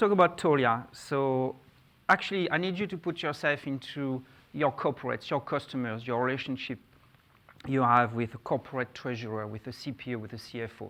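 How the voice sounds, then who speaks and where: In a French accent, a man talks at a fairly quick pace and a medium pitch with ordinary pitch variation. His tone is bright and sharp, with big swings in loudness. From France. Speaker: conference speaker, fintech executive. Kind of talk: conference presentation.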